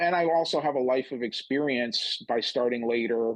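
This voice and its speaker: A man with an American accent speaks at a moderate pace in a medium pitch, with ordinary pitch variation, an unremarkable speaking voice, and a quiet background. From upstate New York. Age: 50s. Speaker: comedian. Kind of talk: casual chat.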